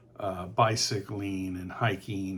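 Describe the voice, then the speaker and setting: Somewhat breathy, a man is speaking. He has a Texan accent. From Texas, San Antonio. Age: 60s. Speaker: real estate agent. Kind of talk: informal presentation.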